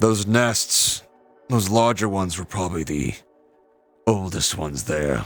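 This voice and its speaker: Over music in the background, a put-on character voice moves at a moderate pace with long, frequent pauses. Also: man, very deep, low pitch for a man. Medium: actual play. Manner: measured, calm, steady.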